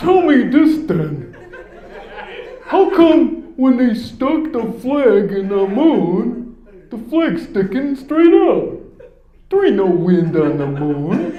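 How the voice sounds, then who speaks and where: In a put-on character voice with a smug tone, the speaker goes at a very slow pace in a high pitch with very wide pitch swings and slight echo. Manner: dim, smug, challenging.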